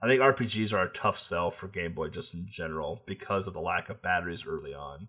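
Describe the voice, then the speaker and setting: A man talking at a fairly quick pace. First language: not English. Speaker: podcast host. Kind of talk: casual chat.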